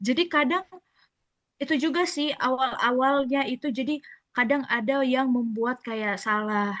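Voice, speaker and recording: This woman speaks at a fairly slow pace. Her intonation is lively. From Batak (North Sumatra), lived in Papua. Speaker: school front-desk staff. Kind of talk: casual podcast chat. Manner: blunt, outspoken.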